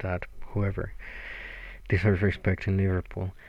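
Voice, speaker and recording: In a very clean recording with a silent background, a man with a very deep, low pitch and a somewhat breathy voice speaks at a fairly quick pace. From Mexico. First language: Spanish. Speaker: podcaster and blogger. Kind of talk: casual solo monologue.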